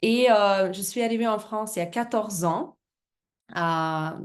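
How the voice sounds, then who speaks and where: A woman with a Russian accent, fairly slow pace and ordinary pitch variation. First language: Russian (speaking French). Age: 30s. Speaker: business presenter, former fitness coach. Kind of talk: business presentation. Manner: halting, many hesitations.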